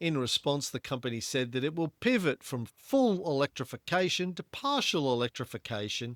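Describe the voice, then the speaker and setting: With lively intonation and hardly any pauses, a man speaks at a moderate pace and fairly high pitch. The recording is very clean, with a silent background. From Australia. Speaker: podcast host. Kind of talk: casual chat about investing. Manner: reading news articles aloud.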